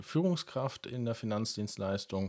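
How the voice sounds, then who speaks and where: A man speaks with a medium pitch. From Lower Franconia, Germany (Karlstadt). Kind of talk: casual podcast conversation.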